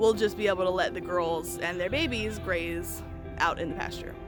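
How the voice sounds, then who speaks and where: With music in the background, a woman speaks in an American accent. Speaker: small farmer, homesteader. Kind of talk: casual talk to camera.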